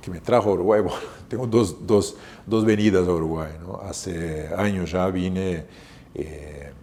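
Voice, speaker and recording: A man with a Brazilian accent and a very deep, low pitch, with big swings in loudness, noticeable background noise and audible room echo. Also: ordinary pitch variation, fairly slow pace. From southern Brazil, Porto Alegre. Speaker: hotel manager. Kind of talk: interview. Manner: halting, many fillers and repetitions.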